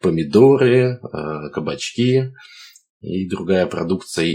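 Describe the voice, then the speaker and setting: Very slowly, a man with a fairly low pitch speaks with very wide pitch swings. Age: 30s. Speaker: entrepreneur. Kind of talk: interview.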